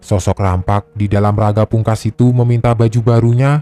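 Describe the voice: Plain reading aloud with fairly even intonation.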